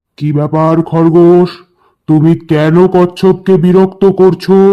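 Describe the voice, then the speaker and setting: This cartoonish character voice sits at a middle pitch with monotone, flat intonation. It moves along at a moderate pace. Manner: authoritative.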